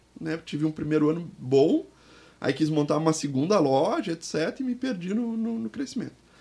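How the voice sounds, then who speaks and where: A man talks at a fairly quick pace in a high pitch with a dark, mellow tone. His pitch swings very widely. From Porto Alegre, southern Brazil. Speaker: business consultant. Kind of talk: interview.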